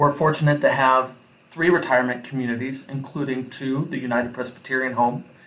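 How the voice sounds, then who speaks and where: A man with a Midwestern American accent speaks at a moderate pace and medium pitch. His tone is bright and sharp, with fairly even intonation. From Iowa. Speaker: mayor and restaurant owner. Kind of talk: interview.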